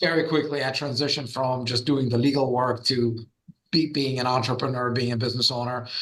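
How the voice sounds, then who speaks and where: A man's fairly quick, monotone delivery with flat intonation, with audible echo from the room. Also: medium pitch for a man. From Russia. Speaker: trademark lawyer and entrepreneur. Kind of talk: podcast interview.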